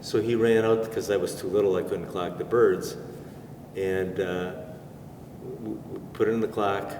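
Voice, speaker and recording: A man with a fairly low pitch speaks in a flat monotone at a moderate pace. He leaves long, frequent pauses, and the room echo is audible. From US Midwest, Racine, Wisconsin. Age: 70s. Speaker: pigeon racer. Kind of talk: interview storytelling. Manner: halting.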